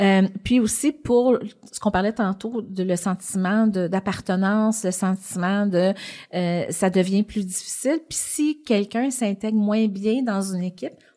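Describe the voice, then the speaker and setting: Speaking with a Quebec accent, a woman has a dark, mellow tone at a medium pitch with ordinary pitch variation. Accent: Québécois French. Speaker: business executive, podcast guest. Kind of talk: interview. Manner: fast.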